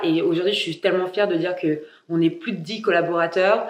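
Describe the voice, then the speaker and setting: Her medium-pitched voice moves at a fairly quick pace as the woman speaks. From France. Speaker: entrepreneur and podcaster. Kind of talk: casual vlog monologue. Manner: animated.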